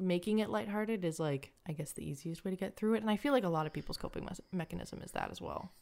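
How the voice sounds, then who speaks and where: A woman's medium-pitched voice, an ordinary speaking voice with ordinary pitch variation. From Canada. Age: 20s. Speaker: Twitch streamer and content creator. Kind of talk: casual interview chat.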